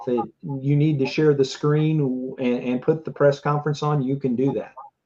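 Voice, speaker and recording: This man has an unremarkable speaking voice, with fairly high pitch, fairly even intonation and a moderate pace. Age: 60s. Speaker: livestream political commentary host. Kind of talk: casual live election coverage chat.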